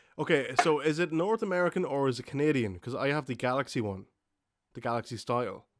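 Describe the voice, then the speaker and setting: Here a man talks at a very fast pace. His pitch is fairly high. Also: lively intonation. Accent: Irish. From Ireland, Dundalk. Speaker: gaming podcast host. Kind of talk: casual chat.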